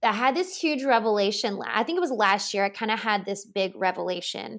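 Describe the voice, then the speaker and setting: A plain, everyday voice from a woman with an American accent, fairly high in pitch and at a fairly quick pace, in a very clean recording with a silent background. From US South, Louisiana. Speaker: holistic nutritionist. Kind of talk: casual interview chat.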